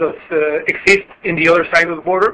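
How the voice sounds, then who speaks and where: The man uses a raised, projected voice that sits high for a man. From Mexico. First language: Spanish. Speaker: customs broker. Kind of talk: webinar presentation. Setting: conference call. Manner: halting.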